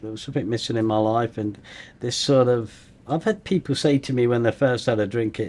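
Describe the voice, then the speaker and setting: A man with a Leicester accent, medium pitch, ordinary pitch variation and a fairly quick pace. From England, Leicester. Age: 60s. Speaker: recovery coach, former addict. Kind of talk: interview, personal testimony. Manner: hesitant, with fillers.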